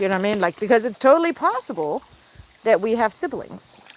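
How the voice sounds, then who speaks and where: Over noticeable background noise, a woman talks with an American accent. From mixed American and German. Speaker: pet goose keeper and livestreamer. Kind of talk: casual livestream chat. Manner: chatty with baby talk to animals.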